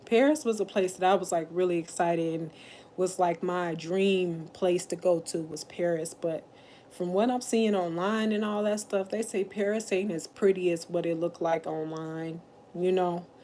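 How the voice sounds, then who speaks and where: Her voice has a dark, mellow tone and a medium pitch, with ordinary pitch variation and a moderate pace. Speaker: livestreamer. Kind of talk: casual livestream chat. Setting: at her mother's house. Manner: loud.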